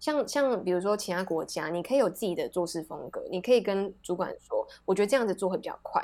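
A woman's medium-pitched voice with a dark, mellow tone, very fast and with hardly any pauses, showing ordinary pitch variation. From Taiwan. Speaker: working holiday traveler. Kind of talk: interview.

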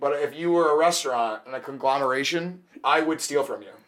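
A man with an ordinary speaking voice talks at a fairly quick pace and fairly high pitch. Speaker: podcast guest. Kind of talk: casual banter.

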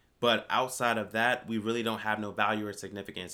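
In an American accent, a man speaks at a fairly quick pace with a bright, sharp tone and monotone, flat intonation. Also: very clean recording, silent background. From Virginia Beach, Virginia. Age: 30s. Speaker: business consultant. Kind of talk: casual chat.

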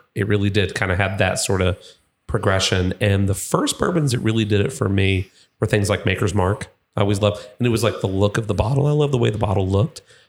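A man's fairly low, somewhat breathy voice at a very fast pace, with ordinary pitch variation and very even loudness. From Kentucky, Louisville. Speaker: distillery representative. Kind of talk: casual chat.

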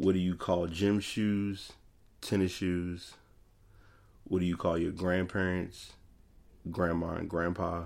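A man with an American accent speaks in a very deep, low, monotone voice. His pace is very slow, with long, frequent pauses. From Richmond, Virginia. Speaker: podcast host. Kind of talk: casual monologue.

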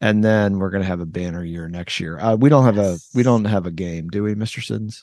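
Against a quiet background, a man with a plain, everyday voice talks at a fairly quick pace, his pitch fairly low with ordinary variation. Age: 50s. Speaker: education podcast host. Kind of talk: casual chat.

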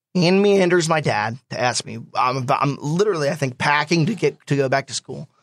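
A man with an American accent and a normal speaking voice talks at a fairly quick pace with hardly any pauses. His pitch is fairly high with ordinary variation, and the sound is dry and close with no echo. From New Jersey, Swedesboro. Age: 20s. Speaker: stock car racing driver. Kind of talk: interview. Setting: studio.

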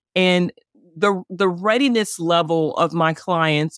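Speaking at a fairly slow pace with a slight Southern US accent, a woman uses a fairly low pitch and ordinary pitch variation on a very clean recording with a silent background. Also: dry, close sound with no echo. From Chicago, US Midwest. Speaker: divorce coach. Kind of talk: interview.

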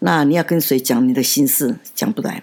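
A woman speaks at a moderate pace with a very deep, low pitch. Her intonation is lively. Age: 70s. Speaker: podcast host's grandmother. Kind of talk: casual interview, storytelling.

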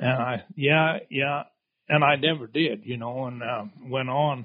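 Fairly high-pitched and fairly slow, a man speaks with an American accent. His intonation stays fairly even. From Idaho, US. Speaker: lion hunter with hounds. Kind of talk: casual interview storytelling.

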